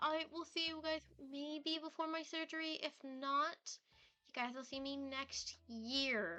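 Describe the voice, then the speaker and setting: Her high-pitched voice is raised and projected, with a bright, sharp tone. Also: fairly even intonation, fairly slow pace. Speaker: streamer. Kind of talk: casual chat. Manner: rambling, filler-heavy. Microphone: laptop setup, headset mic.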